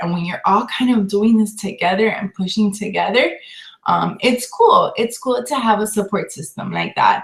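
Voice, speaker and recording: A woman talks at a moderate speed. Behind her, background noise is noticeable. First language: not English. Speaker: fitness coach. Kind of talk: casual chat. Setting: live video call.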